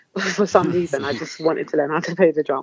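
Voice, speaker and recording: A woman's very deep, low voice with fairly even intonation, in an Essex accent. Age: 20s. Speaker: spoken word poet. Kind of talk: interview answer.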